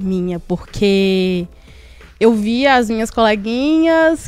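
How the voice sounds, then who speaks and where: Speaking at a very slow pace, a woman uses very wide pitch swings. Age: 20s. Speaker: podcast co-host. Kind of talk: casual panel discussion.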